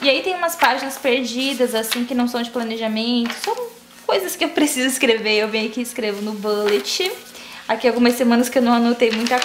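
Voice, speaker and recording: At a fairly quick pace, a woman talks in a high voice with ordinary pitch variation over noticeable background noise. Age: 20s. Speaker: youtuber. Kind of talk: casual tutorial vlog.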